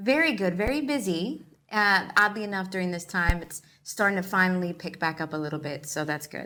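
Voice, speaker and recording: A woman with a bright, sharp tone and medium pitch talks at a fairly quick pace on a very clean recording with a silent background. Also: lively intonation. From New York, the Bronx. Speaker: actor and filmmaker. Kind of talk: interview. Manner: casual, chatty.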